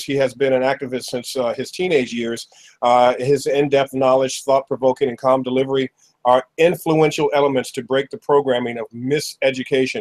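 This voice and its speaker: The background stays quiet. A man talks with monotone, flat intonation. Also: moderate pace. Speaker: show host. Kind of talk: talk show host introduction. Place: home room. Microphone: webcam.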